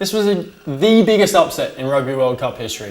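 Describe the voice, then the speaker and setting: A man talks fairly quickly in an Australian accent. His intonation is lively. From Australia, Sydney. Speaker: sports commentator, online show host. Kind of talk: casual sports commentary vlog. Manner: animated.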